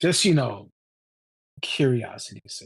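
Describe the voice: A man's put-on character voice, medium in pitch and fairly slow, with vocal fry, a husky, rough edge and lively intonation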